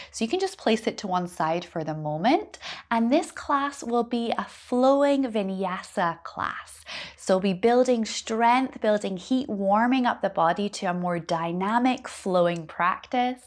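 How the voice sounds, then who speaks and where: At a fairly slow pace, a woman speaks with a fairly high pitch and lively intonation. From Scotland. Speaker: yoga teacher. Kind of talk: yoga class introduction.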